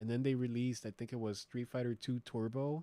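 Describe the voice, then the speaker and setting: A man's medium-pitched voice in an American accent, dark and mellow in tone, with fairly even intonation. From United States. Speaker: streamer. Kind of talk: live stream chat and news reaction. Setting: live stream. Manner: loud; casual, filler-heavy.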